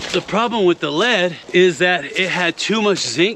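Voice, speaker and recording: Over noticeable background noise, a man with a high pitch speaks with lively intonation. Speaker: gold prospector and geologist. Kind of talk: outdoor exploration vlog. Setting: outdoors. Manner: loud; animated.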